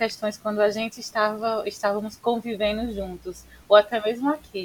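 With a plain, everyday voice, a woman speaks at a fairly high pitch. Her pace is fairly slow. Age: 20s. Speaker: civil engineer and podcast co-host. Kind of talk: casual chat.

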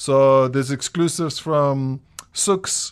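The intonation remains fairly even. It is a normal speaking voice. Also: man. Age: 30s. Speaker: DJ and record label owner. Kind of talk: casual chat.

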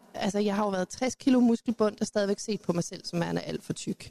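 A woman talks at a moderate pace and fairly high pitch with ordinary pitch variation, in an ordinary speaking voice. The sound is dry and close, with no echo. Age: 40s. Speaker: youth educator, panelist. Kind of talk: panel debate. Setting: live event with audience.

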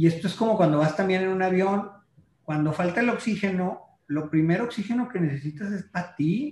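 His pitch sits high. The man speaks fairly quickly, and his pitch varies in an ordinary way. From Mexico, La Laguna region (Coahuila/Durango). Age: 40s. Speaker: marketing consultant. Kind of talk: casual interview chat. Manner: halting, with fillers and repetitions.

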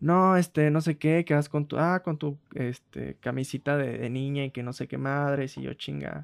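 A man talks at a moderate pace in a normal speaking voice. The sound is dry and close, with no echo. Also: very clean recording, silent background. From rural Mexico. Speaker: podcast co-host. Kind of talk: casual chat.

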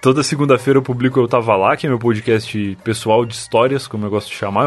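A man races along at a very fast clip, his intonation fairly even throughout. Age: 20s. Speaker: podcaster. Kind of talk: casual chat. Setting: remote call.

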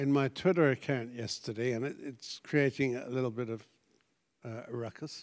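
A man with a British accent speaks at a fairly high pitch. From Britain. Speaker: pastor. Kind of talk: sermon.

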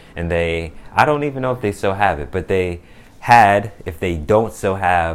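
The speaker is a man with an American accent. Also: very clean recording, silent background. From New Jersey. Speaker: podcaster and music producer. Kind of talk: personal monologue diary. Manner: relaxed, reflective.

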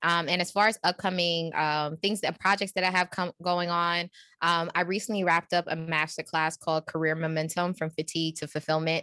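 A woman with a New York accent and a fairly low pitch speaks in a flat monotone at a fairly quick pace with hardly any pauses, recorded dry and close with no echo against a quiet background. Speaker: executive coach. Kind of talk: casual interview.

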